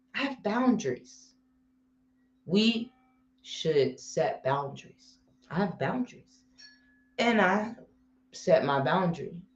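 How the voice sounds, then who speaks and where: A woman's medium-pitched, somewhat breathy voice at a very slow pace, with very wide pitch swings and long, frequent pauses. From Cincinnati, Ohio. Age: 30s. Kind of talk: livestream talk on mental health. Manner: casual, filler-heavy.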